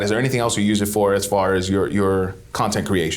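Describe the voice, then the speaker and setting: Fairly quick speech from a man, audible room echo around it. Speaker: real estate agent and podcast co-host. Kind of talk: casual chat. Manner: fast.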